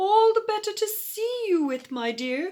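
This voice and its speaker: A woman squeaks out a put-on character voice at an extremely high pitch. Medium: read story. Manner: sly, sweet-talking.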